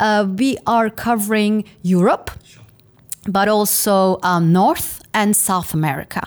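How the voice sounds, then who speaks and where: A woman speaks at a very slow pace, her pitch fairly high. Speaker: career services director. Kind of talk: interview.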